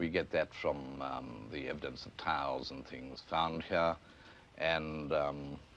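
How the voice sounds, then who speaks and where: Vocal fry runs through a man's very deep, low voice with fairly even intonation. He speaks at a very slow pace, with big swings in loudness. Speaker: physical anthropologist. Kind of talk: interview answer. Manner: hesitant.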